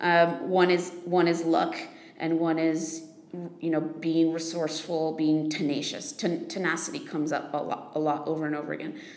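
With an American accent, the speaker talks at a moderate pace in a monotone, flat intonation over noticeable background noise. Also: woman, fairly low pitch for a woman. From United States. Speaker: investor, podcast co-host. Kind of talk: casual improvised podcast chat.

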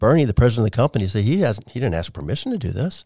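Very fast and full of vocal fry, a man speaks at a medium pitch with very wide pitch swings. His tone is dark and mellow, and the sound is dry and close with no echo. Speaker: video producer in ministry. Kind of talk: casual interview.

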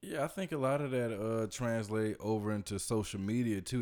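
This man has an unremarkable speaking voice with an American accent and a medium pitch. His pitch varies in an ordinary way, and his pace is moderate. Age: 20s. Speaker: podcast host. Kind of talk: casual chat. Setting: studio.

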